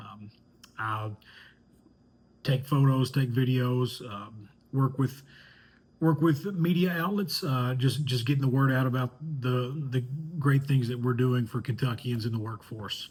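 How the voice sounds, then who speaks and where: A somewhat breathy man of medium pitch, with ordinary pitch variation, a fairly slow pace and long, frequent pauses. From Eastern Kentucky, Hazard (Appalachian mountains). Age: 30s. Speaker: student and communications professional. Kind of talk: class introduction video. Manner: hesitant, many fillers and repetitions.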